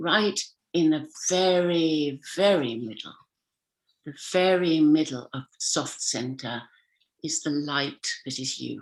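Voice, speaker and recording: A woman with an English accent speaks at a very slow pace with a very deep, low pitch. Long, frequent pauses and big swings in loudness mark her delivery. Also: ordinary pitch variation. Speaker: communication coach and speaker. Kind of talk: motivational talk. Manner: animated, acts out voices.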